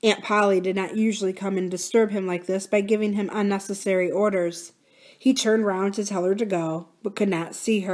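Fairly even intonation in plain reading aloud.

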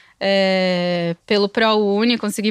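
A woman talks at a very slow pace in a monotone, flat intonation, and the sound is dry with no echo. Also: quiet background. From Santa Catarina, Brazil (Blumenau region); Santa Catarina, Brazil. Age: 30s. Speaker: music marketing agency co-founder; interview guest. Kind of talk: interview. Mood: reflective, calm. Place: studio. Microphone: studio mic.

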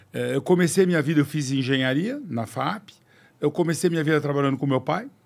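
A man with a French accent, a fairly high pitch, ordinary pitch variation and a moderate pace. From Brazil. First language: French (speaking Portuguese). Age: 60s. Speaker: car company executive; podcast guest. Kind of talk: interview. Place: studio. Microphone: studio mic.

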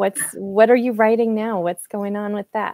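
In an American accent, a woman speaks at a fairly high pitch, the sound dry with no echo and the background quiet. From US Midwest, Quad Cities area; US Midwest. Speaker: interview show host. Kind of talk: interview. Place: home room. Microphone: earbuds.

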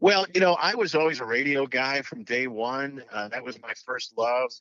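An unremarkable speaking voice from a man, with ordinary pitch variation at a moderate pace. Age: 60s. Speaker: former TV sports anchor. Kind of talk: interview. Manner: jokey.

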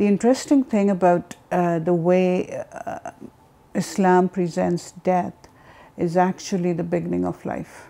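At a fairly slow pace, a woman speaks with a fairly low pitch, a dark, mellow tone, and ordinary pitch variation. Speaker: interviewee. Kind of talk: interview testimony. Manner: halting, many fillers. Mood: calm, reflective. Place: home room. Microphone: lapel.

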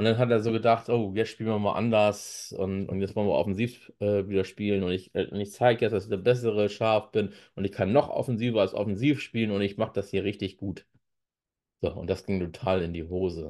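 A man speaks at a fairly quick pace. His pitch is fairly low and his intonation fairly even. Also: quiet background. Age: 40s. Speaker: football YouTuber and author; football YouTuber. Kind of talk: solo commentary with read-aloud articles. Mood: critical, conversational. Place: home room.

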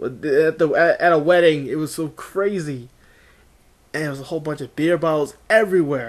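The background is quiet as a man talks with a fairly high pitch and ordinary pitch movement. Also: moderate pace. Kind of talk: casual talk to camera.

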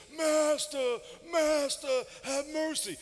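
Someone does a put-on character voice at a high pitch. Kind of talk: sermon. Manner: pleading.

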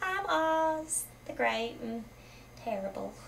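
Putting on a character voice, a woman speaks fairly high and fairly slowly, her pitch swinging very widely over clear background noise. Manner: trembling, fearful.

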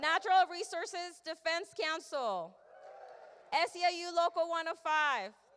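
Against light background noise, a woman speaks at a very slow pace with an extremely high pitch. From Mexico. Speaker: event organizer and emcee. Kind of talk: event hosting. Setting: stage with audience. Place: hall. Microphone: handheld.

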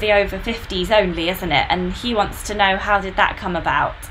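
Speech at a fairly quick pace with ordinary pitch variation plays over faint music in the background. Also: woman. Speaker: trail running channel host; host of the live Q&A. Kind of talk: live chat interview host. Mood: friendly, relaxed. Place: home room.

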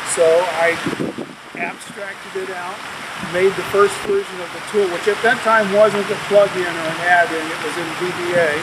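Loud background noise behind a man's moderately paced speech. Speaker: interview guest. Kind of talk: interview answer. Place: waterside.

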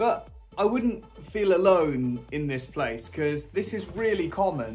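With faint music in the background, a man talks. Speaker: cycling vlogger. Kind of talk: casual vlog chat. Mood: reflective, supportive. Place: home room. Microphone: phone near.

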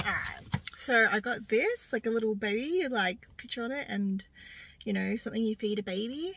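Her intonation is lively as this woman speaks at a moderate pace. The sound is dry with no echo, over light background noise. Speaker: vlogger. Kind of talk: casual vlog chat. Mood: cheerful, playful. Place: car. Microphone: phone near.

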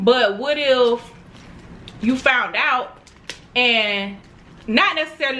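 The tone is animated, with ordinary pitch variation and light background noise. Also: woman. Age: 20s. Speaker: mukbang youtuber. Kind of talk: casual chat while eating. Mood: playful, animated. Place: home room.

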